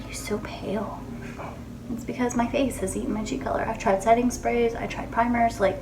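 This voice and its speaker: A woman speaks quietly at a very fast pace, her fairly high voice monotone and flat. Music plays in the background, and room echo is audible. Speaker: beauty vlogger. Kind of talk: casual makeup tutorial. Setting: home bathroom. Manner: subdued.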